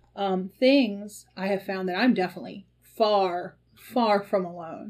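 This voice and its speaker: A woman's medium-pitched voice in a Mississippi accent. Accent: Southern US (Mississippi). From US Deep South. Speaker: podcast host, tea leaf reader and shop owner. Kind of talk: casual chat. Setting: shop. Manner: hesitant, frequent ums.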